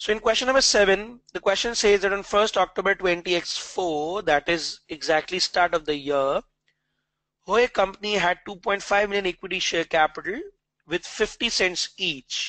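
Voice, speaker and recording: A man speaks with a high pitch and ordinary pitch variation. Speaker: accounting exam tutor. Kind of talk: online revision lecture. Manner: fast; hesitant fillers.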